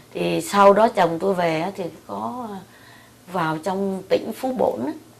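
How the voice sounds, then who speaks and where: A woman at a medium pitch, speaking fairly slowly over noticeable background noise. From Central Vietnam. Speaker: military wife. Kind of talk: oral history interview answer.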